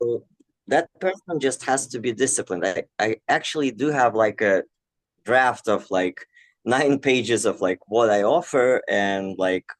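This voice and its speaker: A man with a Russian accent talks at a fairly slow pace and medium pitch with lively intonation. The sound is dry and close, with no echo. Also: quiet background. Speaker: aspiring mindfulness coach. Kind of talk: coaching Q&A. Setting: online breakout room.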